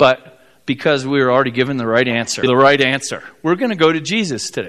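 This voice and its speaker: Over a quiet background, a man with a Midwestern American accent and a fairly high voice talks with lively intonation. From US Midwest, South Bend, Indiana. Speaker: pastor. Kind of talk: sermon. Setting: church.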